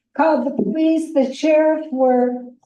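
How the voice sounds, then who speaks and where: Audible room echo surrounds this recording. A woman speaks with a high pitch. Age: 70s. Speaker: nurse and committee member. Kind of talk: public comment at committee meeting. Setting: committee meeting room.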